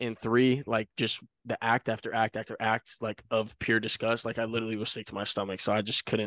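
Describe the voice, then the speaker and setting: A man speaks in a flat monotone at a fairly quick pace, with a quiet background and a dry sound with no echo. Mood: disgusted but laughing. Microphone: handheld.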